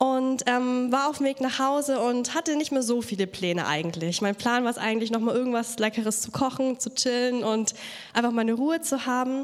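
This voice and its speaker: Against noticeable background noise, a woman talks at a fairly quick pace and a high pitch, her pitch varying in an ordinary way. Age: 20s. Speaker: youth church speaker. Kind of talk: sermon.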